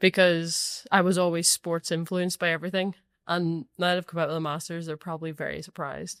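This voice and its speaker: A woman with a strong Northern Irish accent speaks at a fairly quick pace in a fairly low, monotone voice with flat intonation, the sound dry and close with no echo. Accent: thick Northern Irish. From Northern Ireland. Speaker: professional footballer. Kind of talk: casual chat.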